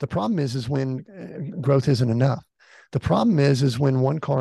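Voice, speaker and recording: In an American accent, a man with a fairly high pitch and a dark, mellow, somewhat breathy tone speaks at a moderate pace, with a dry, close sound and no echo. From US South, Atlanta, Georgia. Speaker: executive coach. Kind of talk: interview.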